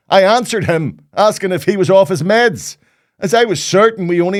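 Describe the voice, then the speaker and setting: A man's high voice in a Northern Irish accent, with ordinary pitch variation and a moderate pace, on a very clean recording with a silent background. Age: old. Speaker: comedian. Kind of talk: casual vlog monologue.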